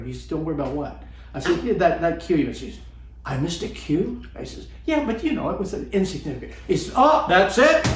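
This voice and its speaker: Through noticeable background noise, a man talks at a very fast pace with big swings in loudness. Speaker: actor. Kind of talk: interview answer. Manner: dry wit.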